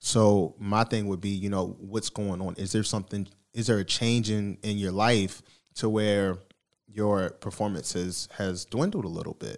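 In a very clean recording with a silent background, a man with an American accent uses an ordinary speaking voice, fairly low in pitch, at a moderate pace and with fairly even intonation. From Baltimore, US East Coast. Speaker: podcast host and mental health advocate. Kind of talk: casual interview.

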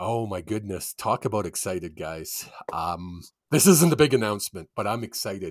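A man in a Canadian accent, fairly low-pitched and animated, with lively intonation at a moderate pace, in a very clean recording with a silent background. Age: 50s. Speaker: sports podcast co-host and writer. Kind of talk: casual chat.

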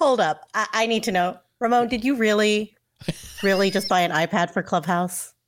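A woman's ordinary speaking voice at medium pitch, with ordinary pitch variation, very even loudness and a moderate pace. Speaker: co-host. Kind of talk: live show conversation.

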